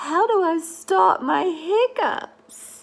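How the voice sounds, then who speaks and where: This is a put-on character voice from a woman. It sits at an extremely high pitch. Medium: read story.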